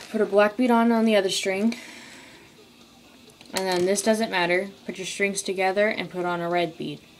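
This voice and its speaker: Light background noise sits behind a woman speaking at a moderate pace. She uses fairly even intonation, with long, frequent pauses. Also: medium pitch for a woman. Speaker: craft tutorial maker. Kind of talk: tutorial. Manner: halting. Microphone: phone near.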